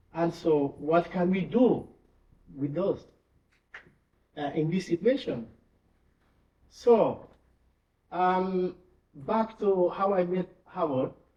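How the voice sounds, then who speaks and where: Very slow speech with long, frequent pauses and ordinary pitch variation. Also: man, high pitch for a man. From Guinea-Bissau, rural village. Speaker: charity country director. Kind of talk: memorial tribute speech. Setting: church with congregation. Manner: halting, many fillers.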